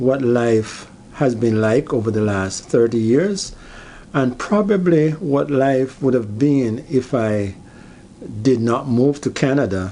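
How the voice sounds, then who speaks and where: Speaking very slowly at a medium pitch, a man keeps his loudness very even while his intonation stays lively and his tone dark and mellow. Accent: Jamaican. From Jamaica. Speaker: YouTuber. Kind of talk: personal vlog monologue. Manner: halting, many fillers.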